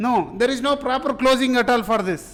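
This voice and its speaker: A man speaks at an extremely high pitch and a moderate pace, with fairly even intonation. Room echo is audible. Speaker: software testing instructor. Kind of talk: live class lecture.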